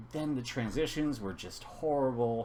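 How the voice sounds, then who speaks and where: Room echo can be heard. This man talks at a moderate pace. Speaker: gaming YouTuber. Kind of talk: casual video game reaction commentary. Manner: halting, with self-noted stutters and fillers.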